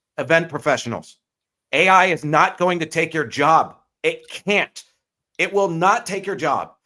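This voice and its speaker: A man talks loudly at a moderate pace. His pitch is high, with a bright, sharp tone. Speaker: wellness live stream host. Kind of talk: casual discussion. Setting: live stream. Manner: animated.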